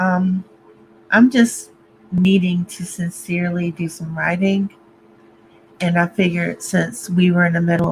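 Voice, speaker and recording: A man with a high pitch talks at a fairly slow pace, his intonation fairly even. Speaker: writer livestreamer. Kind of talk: casual livestream chat. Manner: talking funny, sleepy.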